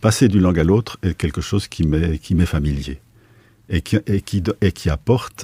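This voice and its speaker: A man speaks at a moderate pace with a very deep, low pitch. His tone is dark and mellow, touched with vocal fry. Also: dry, close sound with no echo. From Switzerland, Basel. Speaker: philosopher and sinologist. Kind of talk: radio interview. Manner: halting.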